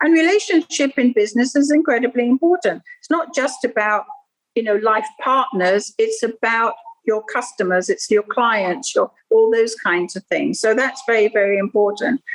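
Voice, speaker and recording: With lively intonation and a high pitch, a woman talks at a moderate pace in a dry, close sound with no echo. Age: 70s. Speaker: feng shui consultant. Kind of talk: interview.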